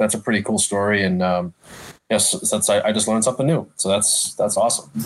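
Fairly low male voice at a fairly quick pace, with fairly even intonation and music in the background. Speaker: podcast co-host. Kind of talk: casual interview.

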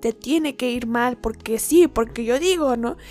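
With music in the background, a woman speaks at a moderate pace in a high pitch. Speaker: podcaster and tarot reader. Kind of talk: casual monologue. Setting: at home. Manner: quiet, recorded at low volume. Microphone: recorded too quietly.

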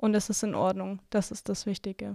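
The recording is very clean, with a silent background. Its sound is dry and close, without echo. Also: woman. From Nuremberg, Franconia, Germany; Russian family. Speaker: student activist. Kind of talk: panel discussion.

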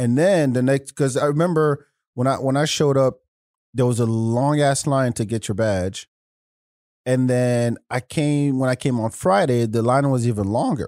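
A plain, everyday voice: a man at medium pitch with an American accent, ordinary pitch variation, very even loudness and a moderate pace, in a dry, close, echo-free sound on a very clean recording with a silent background. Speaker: podcast host guest. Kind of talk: casual banter chat. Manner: laid-back, joking.

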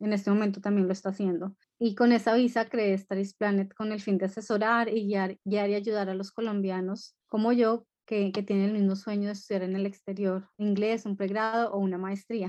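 Over a quiet background, a woman speaks at a moderate pace with hardly any pauses, her medium-pitched voice dark and mellow in tone and monotone, flat in intonation. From Colombia. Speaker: education consultancy founder. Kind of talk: interview. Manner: hesitant, many fillers.

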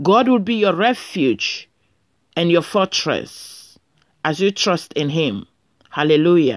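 Very slow and broken by long, frequent pauses, a woman's fairly low voice moves in very wide pitch swings on a very clean recording with a silent background. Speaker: preacher leading prayer. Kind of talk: fervent prayer and scripture reading with blessings. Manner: fervent, exclaiming 'Praise God' and 'Hallelujah'; earnest, solemn, pastoral.

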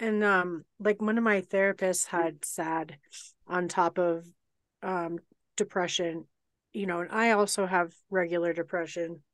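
With an American accent and an unremarkable speaking voice, a woman talks at a fairly slow pace with a fairly low pitch and fairly even intonation, in a dry, close sound with no echo and a quiet background. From Colorado. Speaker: podcast co-host. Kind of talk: casual chat. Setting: video call.

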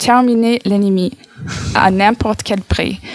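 A woman with an American accent speaks at a fairly slow pace, her pitch fairly high and her intonation fairly even. The sound is dry and close, with no echo. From United States. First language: English (speaking French). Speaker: radio columnist. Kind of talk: read-out column.

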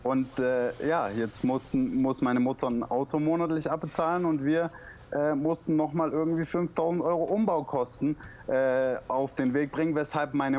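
Fairly high for a man, a normal speaking voice with ordinary rise and fall in pitch and a moderate tempo. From Stuttgart, southwest Germany. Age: 20s. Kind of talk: casual interview. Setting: Skype call.

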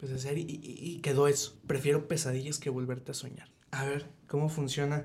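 A man with a dark, mellow, somewhat breathy voice speaks very fast at a fairly high pitch in a monotone, flat intonation, with audible room echo. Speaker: podcast host. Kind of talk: personal testimony; casual chat.

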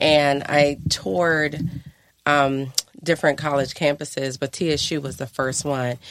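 Speaking with an American accent, a woman uses a very deep, low pitch, a fairly slow pace and fairly even intonation. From Akron, Ohio, US Midwest. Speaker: entrepreneur and yoga instructor. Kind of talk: casual interview.

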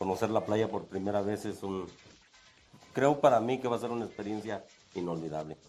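A man's fairly low-pitched voice at a fairly quick pace, with ordinary pitch variation and long, frequent pauses. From Salvatierra, Guanajuato, Mexico. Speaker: security guard. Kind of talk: interview. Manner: halting.

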